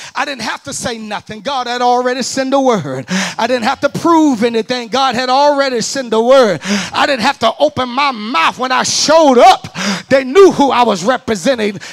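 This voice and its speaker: Speaking at an extremely high pitch, a man has an American accent and an animated tone. He keeps a moderate pace with ordinary pitch variation and hardly any pauses. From US South, Alabama. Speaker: preacher. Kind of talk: sermon. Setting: church with live congregation. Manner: animated, call-and-response, urging the crowd to shout back; conversational, direct to the congregation. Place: church. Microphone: handheld.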